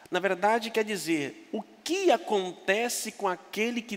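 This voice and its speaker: A man is speaking. His pace is very slow. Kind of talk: sermon. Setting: church.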